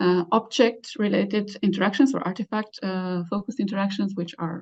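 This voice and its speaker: Somewhat breathy, a woman speaks at a very fast pace. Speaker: professor, keynote speaker. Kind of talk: lecture. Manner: halting, many fillers.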